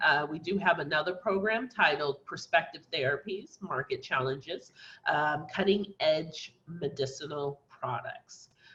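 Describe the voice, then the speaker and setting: A woman speaks with a bright, sharp tone and lively intonation at a moderate pace. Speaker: webinar moderator, program director. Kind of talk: webinar introduction. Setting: online webinar.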